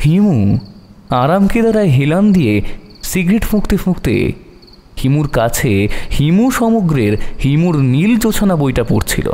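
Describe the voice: At a fairly slow pace, a man with a fairly high pitch and a dark, mellow tone makes big pitch swings.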